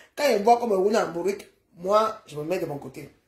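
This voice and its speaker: A woman's somewhat breathy, animated voice with audible room echo. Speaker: social media live streamer. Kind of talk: casual rant. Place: home room. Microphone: phone near.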